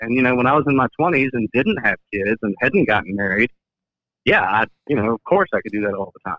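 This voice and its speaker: Here is a man with a medium pitch and a plain, everyday voice. He talks at a fairly quick pace with lively intonation. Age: 30s. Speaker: caller. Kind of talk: casual chat. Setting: phone call.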